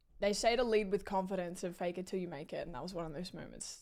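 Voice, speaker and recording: Talking at a very fast pace with an Australian accent, a woman uses a medium pitch with ordinary variation, an animated tone and big swings in loudness. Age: 20s. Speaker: live streamer. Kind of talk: casual chat.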